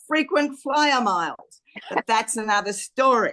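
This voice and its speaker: A high-pitched woman speaks at a moderate pace with an Australian accent. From Australia, Queensland. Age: 70s. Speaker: podcast guest. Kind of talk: casual interview chat.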